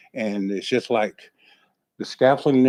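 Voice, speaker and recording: Fairly quick and fairly even, a man with a Southern US accent speaks at a medium pitch in a dark, mellow tone. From Florida. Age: 60s. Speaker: property owner at code hearing. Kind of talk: testimony. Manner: halting.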